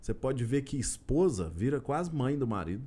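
With a dark, mellow tone, a man talks at a moderate pace while his pitch swings very widely. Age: 30s. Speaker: state legislator. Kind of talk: casual interview.

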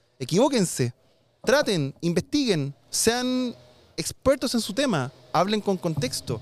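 Very wide pitch swings in a man's speech. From Chile. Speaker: tech youtuber. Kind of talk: casual chat. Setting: outdoors.

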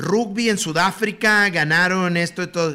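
The man's voice has a bright, sharp tone. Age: 50s. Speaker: retired sports broadcaster. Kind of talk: casual chat.

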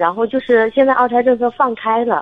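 A woman is speaking. Her pace is moderate. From Shandong. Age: 30s. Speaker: caller, stay-at-home mother. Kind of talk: casual chat. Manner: halting.

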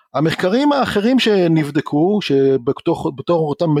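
A high-pitched man speaks with lively intonation, recorded dry and close with no echo. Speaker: learning technology researcher and entrepreneur. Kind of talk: interview. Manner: formal.

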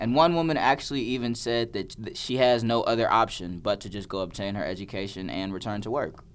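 A man speaks in a normal speaking voice. He keeps a fairly quick pace with ordinary pitch variation. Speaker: student sports reporter. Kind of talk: casual chat.

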